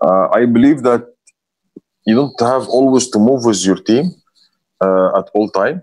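The speaker talks at a moderate pace with an Arabic accent. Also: man. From Egypt. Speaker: hotel finance director. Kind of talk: interview. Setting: video call. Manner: halting.

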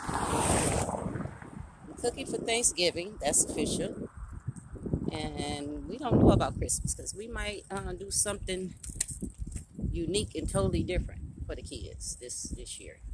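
The voice moves at a fairly slow pace, with a dry sound with no echo and loud background noise. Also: woman. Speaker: grandmother vlogger. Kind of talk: casual vlog chat. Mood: chatty, animated. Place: street. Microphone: phone near.

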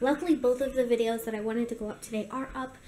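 A woman speaks in a high voice with fairly even intonation. Light background noise is present. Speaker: daily vlogger. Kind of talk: casual vlog chat. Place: kitchen. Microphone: phone near.

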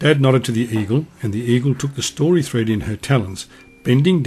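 Ordinary variation in pitch within an unforced reading voice.

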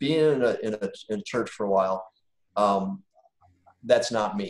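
Against a quiet background with audible room echo, a man with an American accent speaks at a moderate pace in a fairly low pitch with fairly even intonation. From Wisconsin, US Midwest. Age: 50s. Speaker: business owner and guest speaker; guest. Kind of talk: personal testimony in online class. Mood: calm, reflective. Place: home room. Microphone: video call.

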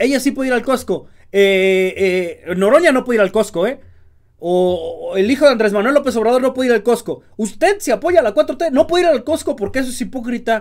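A man speaks at an extremely high pitch, his tone animated and his intonation lively. The background is quiet. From Mexico. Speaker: political commentary youtuber. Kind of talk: political commentary monologue. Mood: indignant, sarcastic. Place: home room.

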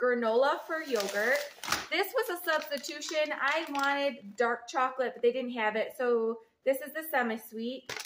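Noticeable background noise sits under a woman's high-pitched voice. She speaks at a fairly slow pace with ordinary pitch variation. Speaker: home vlogger. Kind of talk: casual vlog chat. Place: kitchen. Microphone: phone near.

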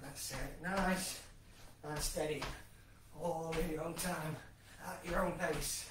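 With audible room echo and noticeable background noise, a man speaks very slowly in a high, monotone, flat voice. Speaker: fitness instructor. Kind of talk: workout class instruction. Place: kitchen. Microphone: camera far.

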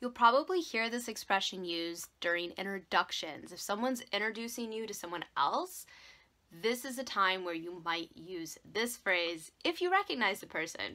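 Upbeat and bright, sharp in tone, a woman with an American accent speaks with big swings in loudness. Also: lively intonation, moderate pace. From Wisconsin, United States. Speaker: English teacher. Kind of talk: English lesson talk to camera. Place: home room. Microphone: phone near.

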